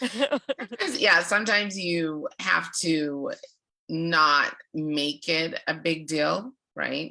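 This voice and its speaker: A woman's bright, sharp tone. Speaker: public speaking club leader. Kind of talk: casual chat.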